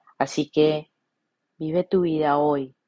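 Everything around the speaker is quiet. The words come out at a very slow pace. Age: 40s. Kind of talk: reflective monologue.

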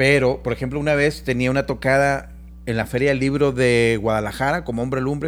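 A man's normal speaking voice at a medium pitch, with fairly even intonation and a moderate pace. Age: 50s. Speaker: musician. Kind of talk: casual chat.

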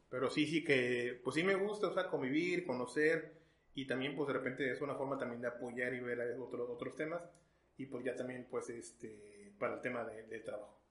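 Medium in pitch, a man talks at a moderate pace with ordinary pitch variation. Background noise is noticeable throughout. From Mexico (Veracruz). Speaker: journalist and photographer. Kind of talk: casual interview.

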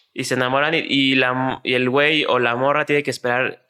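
The man's voice sits at a fairly high pitch with a bright, sharp tone. He speaks at a moderate pace. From Mexico City. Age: 20s. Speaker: podcast co-host. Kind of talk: casual chat.

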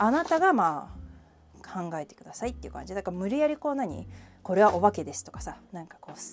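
A woman talks at a very fast pace, her loudness rising and falling sharply. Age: 30s. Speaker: podcast host. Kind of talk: casual solo chat. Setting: home kitchen.

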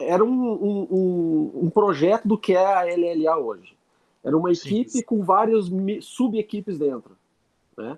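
A man's high-pitched voice, lively in intonation, at a fairly slow pace. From Southern Brazil, Lages (Santa Catarina). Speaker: airsoft team leader. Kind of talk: casual interview chat.

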